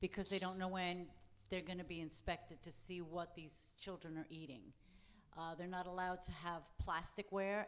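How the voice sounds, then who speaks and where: A woman speaks in a fairly low pitch. Her intonation stays monotone and flat. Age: 60s. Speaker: mission trip member. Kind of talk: church testimony. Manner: halting.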